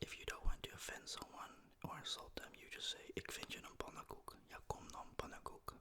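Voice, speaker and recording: Someone whispers at a fairly quick pace. Noticeable noise sits in the background. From Netherlands. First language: Dutch. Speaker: ASMR content creator. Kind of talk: ASMR language tutorial. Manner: soft-spoken; casual, animated.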